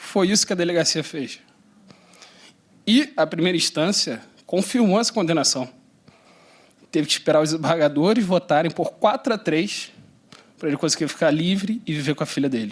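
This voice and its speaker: In a very clean recording with a silent background, a man speaks at a moderate pace with a high pitch, lively intonation and long, frequent pauses. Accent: Carioca. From Rio de Janeiro city, Brazil. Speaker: panel moderator, lawyer. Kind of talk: panel introduction with personal anecdote. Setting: conference panel with live audience.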